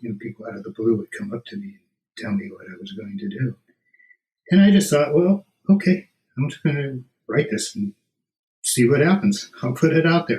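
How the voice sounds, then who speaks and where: Pitched fairly high, a man talks at a fairly quick pace with very wide pitch swings, big swings in loudness, a somewhat breathy quality and long, frequent pauses. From US West Coast, San Fernando Valley. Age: 60s. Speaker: author. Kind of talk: interview.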